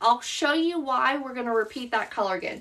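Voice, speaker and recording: A woman's raised, projected voice, high in pitch and bright and sharp in tone, with lively intonation and a Southern US accent. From US South. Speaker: craft instructor. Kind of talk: tutorial. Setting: live stream. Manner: casual.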